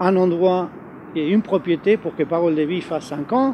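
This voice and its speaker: With noticeable background noise, a man with an Argentine accent speaks in a high voice at a moderate pace with lively intonation. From Argentina. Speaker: youth ministry leader. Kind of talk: interview. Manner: hesitant, many fillers.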